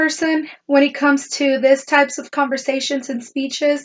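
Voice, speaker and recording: A woman is talking. She has a high voice. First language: not English. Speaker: student. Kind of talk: class presentation. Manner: halting.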